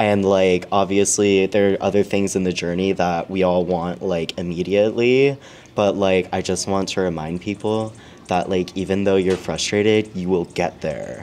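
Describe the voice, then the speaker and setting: Delivered at a moderate pace, a man's very deep, low voice carries an American accent and fairly even intonation. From Arizona. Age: 20s. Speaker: adult content creator. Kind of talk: casual interview chat.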